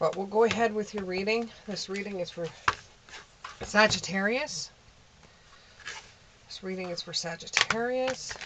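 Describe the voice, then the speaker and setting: Speech comes at a moderate pace with long, frequent pauses. Noticeable background noise runs underneath. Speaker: tarot reader. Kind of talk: tarot reading.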